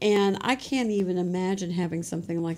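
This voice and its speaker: With an American accent, this is an unremarkable speaking voice carrying lively intonation. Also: woman. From Louisiana and Texas. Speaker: business co-founder. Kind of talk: interview.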